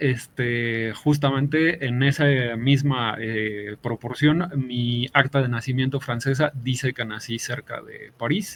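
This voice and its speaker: A man speaks at a very slow pace with hardly any pauses. His loudness swings widely. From Mexico. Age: 40s. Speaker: game master. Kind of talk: interview. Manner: halting.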